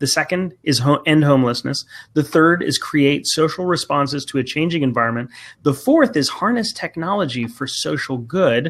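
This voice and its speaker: With a normal speaking voice, this man talks at moderate speed, pitched fairly high with ordinary variation, on a very clean recording against a silent background. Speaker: social work researcher. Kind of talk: casual chat.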